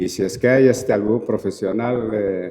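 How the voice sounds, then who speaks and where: A man's voice is heard with noticeable background noise around it. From Peru. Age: 60s. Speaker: anthropologist and university lecturer. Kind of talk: Q&A answer at a talk. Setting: auditorium.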